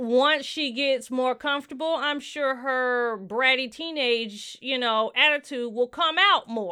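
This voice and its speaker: With a Southern US accent, a woman speaks at a fairly slow pace in a high pitch with ordinary pitch variation. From US South. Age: 30s. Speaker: podcast co-host. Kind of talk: casual chat. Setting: studio with microphones.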